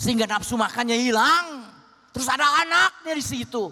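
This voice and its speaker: Raising and projecting his high-pitched voice, a man talks at a fairly slow pace against noticeable background noise. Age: 70s. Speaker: pastor. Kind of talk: sermon.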